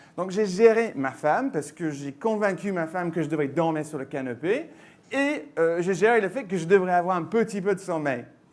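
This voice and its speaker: A man's high voice at a moderate pace, with lively intonation. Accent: slight English. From England. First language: English (speaking French). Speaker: tech company mobile solutions manager. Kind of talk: conference presentation. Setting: stage with audience.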